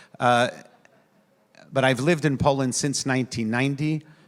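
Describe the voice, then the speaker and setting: With an American accent, a man talks at a fairly quick pace in a plain, everyday voice, medium in pitch and fairly even in intonation, on a very clean recording with a silent background. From New York, US. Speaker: rabbi. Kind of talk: panel speech.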